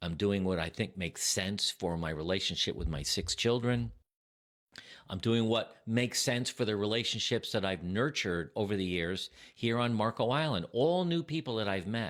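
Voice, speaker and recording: A man speaks in a normal speaking voice, fairly low in pitch, with lively intonation. His pace is moderate, and the recording is very clean with a silent background. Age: 60s. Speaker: retiree vlogger. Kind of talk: personal talk to camera.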